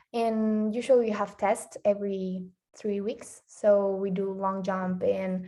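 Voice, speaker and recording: Speaking very slowly, a woman with a Spanish accent uses a dark, mellow tone at medium pitch with flat, monotone intonation. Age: 20s. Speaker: athlete. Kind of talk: interview. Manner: halting.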